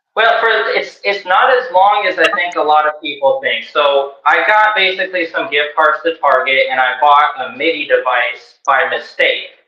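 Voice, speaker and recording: This man's voice is high-pitched, with lively intonation, a moderate pace and hardly any pauses. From Colorado, then Arizona. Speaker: musician. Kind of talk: podcast interview.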